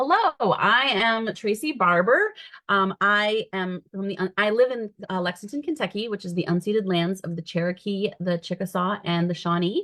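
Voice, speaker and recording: An American-accented woman speaks at a medium pitch with hardly any pauses. Her pitch moves in an ordinary way. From Michigan, US Midwest. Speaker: costume director and theatre educator. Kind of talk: panel discussion. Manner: fast.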